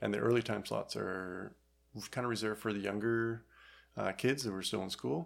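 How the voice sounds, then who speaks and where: At a moderate pace, a man with an unremarkable speaking voice talks in a fairly low pitch with ordinary pitch variation. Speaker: retail employee and outdoor enthusiast. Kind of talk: casual chat.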